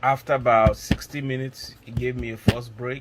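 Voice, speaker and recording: A man's voice comes through somewhat breathy. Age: 60s. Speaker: nursing exam taker giving testimonial. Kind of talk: testimony. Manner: halting, with many fillers.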